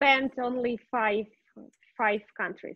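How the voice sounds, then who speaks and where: A woman speaks with a Russian accent. The sound is dry and close with no echo. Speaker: English student. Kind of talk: language lesson. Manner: halting, many fillers.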